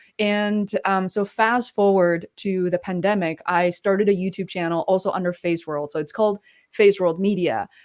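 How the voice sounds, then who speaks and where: Woman at medium pitch, moderate pace and fairly even intonation, in a very clean recording with a silent background. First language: not English. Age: 30s. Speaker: podcaster and digital marketer. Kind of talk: interview conversation.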